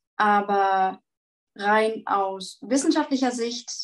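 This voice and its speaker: A woman of medium pitch talks with ordinary pitch variation in a plain, everyday voice. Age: 20s. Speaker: vegan nutrition advisor. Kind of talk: interview answers, explanatory.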